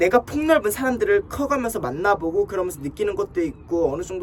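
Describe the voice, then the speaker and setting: Noticeable background noise sits under speech that moves fairly quickly. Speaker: advice channel host. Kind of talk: casual advice talk. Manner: blunt, emphatic.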